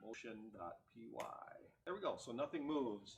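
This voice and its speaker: A man speaks at a medium pitch, sounding somewhat breathy. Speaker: tech meetup presenter. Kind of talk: technical presentation with live demo. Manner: fast; casual, joking.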